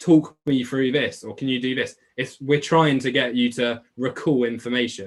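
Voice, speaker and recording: A man's medium-pitched voice at a moderate pace, with fairly even intonation and a strong Essex accent. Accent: thick Essex. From England, Essex. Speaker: online biology tutor. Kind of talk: live webclass Q&A. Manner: casual, chatty.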